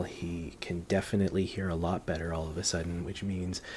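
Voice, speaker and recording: A man is whispering. He keeps a moderate pace. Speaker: parent vlogger. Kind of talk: casual explanatory vlog. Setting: at home. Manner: hesitant, many fillers.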